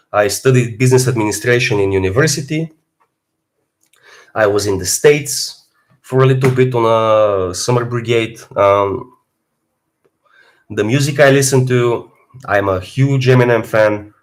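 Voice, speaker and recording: Speaking at a moderate pace with an Eastern European accent, a man uses ordinary pitch variation and takes long, frequent pauses. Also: medium pitch for a man. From Bulgaria. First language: Bulgarian. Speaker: fitness streamer. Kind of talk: live stream Q&A.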